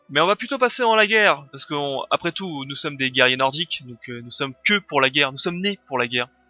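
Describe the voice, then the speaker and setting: Over music in the background, a man with a fairly high pitch races along at a very fast pace, with lively intonation and big swings in loudness. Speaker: gaming video creator. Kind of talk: let's play commentary. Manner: casual, hesitant with fillers.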